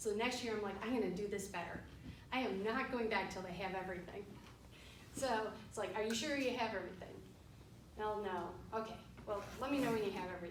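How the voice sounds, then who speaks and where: Talking at a very fast pace, a woman with a Western New York accent uses ordinary pitch variation and takes long, frequent pauses. Noticeable background noise and audible room echo fill the recording. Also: medium pitch for a woman. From Western New York, Rochester. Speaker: forensic accountant. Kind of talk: guest talk to students. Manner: casual, with fillers.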